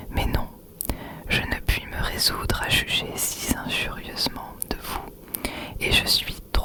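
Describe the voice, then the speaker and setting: Very slow whispering from a woman, noticeable background noise behind it. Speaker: ASMR creator. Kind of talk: whispered literary reading. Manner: whispered, soft, slow.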